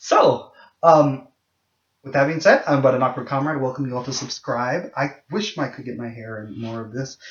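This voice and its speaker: This man has a plain, everyday voice, pitched fairly high. He talks at a moderate pace. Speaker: video blogger. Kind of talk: casual monologue vlog.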